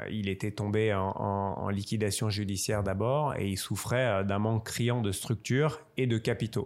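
In an unremarkable speaking voice, a man talks at a fairly slow pace with fairly low pitch, fairly even intonation and hardly any pauses, on a very clean recording with a silent background. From Strasbourg, Alsace, France. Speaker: wealth manager and football club shareholder. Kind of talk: interview.

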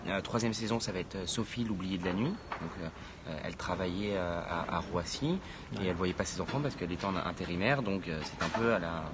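Amid audible room echo, a man speaks at a very deep, low pitch with ordinary pitch variation. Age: 20s. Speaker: founder of a social impact media outlet. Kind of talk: interview. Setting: live video stream with audience in the room. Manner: halting, many repetitions and fillers.

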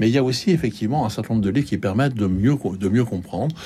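A man speaks with a dark, mellow tone. His pitch sits fairly low. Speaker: bookseller. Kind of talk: radio discussion. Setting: radio studio. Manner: halting, hesitant.

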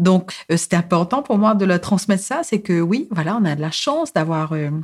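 A woman's medium-pitched voice comes through a very clean recording against total background silence. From Mauritius. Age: 40s. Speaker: psychosociologist and rights advocate. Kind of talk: personal testimony. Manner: halting, frequent hesitations.

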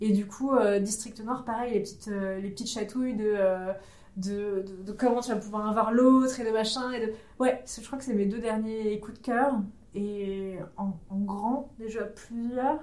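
With big swings in loudness, a woman at a fairly high pitch talks at a fairly slow pace and with fairly even intonation, amid audible room echo and noticeable background noise. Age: 30s. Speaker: YouTuber and escape room game master. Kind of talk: casual interview chat. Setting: recorded at a games festival.

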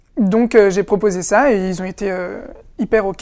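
A woman speaks in a medium pitch with ordinary pitch variation. Her pace is very slow. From France, Essonne (Paris suburbs). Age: 20s. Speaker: actor. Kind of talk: interview. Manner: halting, with repetitions.

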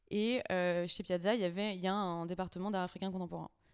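A woman with a normal speaking voice talks at medium pitch with fairly even intonation. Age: 20s. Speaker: auction house cataloguer. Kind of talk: casual interview.

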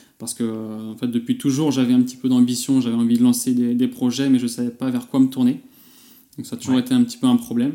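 At a very fast pace, a man speaks in a medium-pitched voice with monotone, flat intonation. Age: 20s. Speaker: e-commerce entrepreneur, email marketer. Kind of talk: casual interview. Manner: halting, many fillers.

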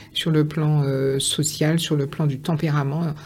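A woman speaks very slowly in a somewhat breathy voice with a fairly low pitch. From Guadeloupe, Pointe-à-Pitre. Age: 50s. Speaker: author. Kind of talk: interview.

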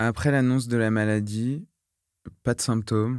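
In a very clean recording with a silent background, a man speaks at a fairly slow pace with fairly even intonation. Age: 20s. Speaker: nursing student and leukemia survivor. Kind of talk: testimony. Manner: halting, with many hesitations.

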